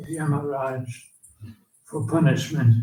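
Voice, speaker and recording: Audible room echo hangs on the voice. A man talks very slowly. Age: 80s+. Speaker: elderly monk and spiritual teacher. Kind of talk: reading aloud a written offering.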